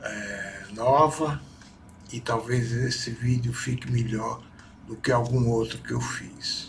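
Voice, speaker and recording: A man's medium-pitched voice, monotone and flat, at a very slow pace with audible room echo. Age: 60s. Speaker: son giving testimony about his mother. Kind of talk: personal testimony. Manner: halting.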